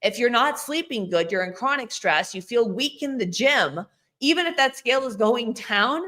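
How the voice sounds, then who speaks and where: A woman talks at a high pitch with a bright, sharp tone. Her intonation is lively. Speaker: fitness coach. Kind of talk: solo video talk, Q&A. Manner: fast.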